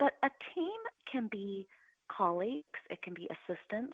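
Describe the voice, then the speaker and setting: A loud woman's voice with very wide pitch swings. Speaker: podcast guest, motivational show host. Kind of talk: interview conversation. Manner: animated.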